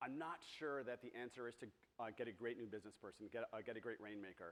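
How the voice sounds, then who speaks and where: Ordinary pitch variation marks this man's medium-pitched voice. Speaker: agency co-founder, conference speaker. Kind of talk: conference talk. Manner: fast; filler-heavy, repeats words.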